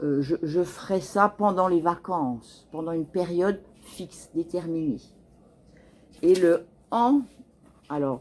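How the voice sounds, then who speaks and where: On a very clean recording with a silent background, a woman speaks at a very slow pace with lively intonation and long, frequent pauses. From France. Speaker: French teacher. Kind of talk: tutorial.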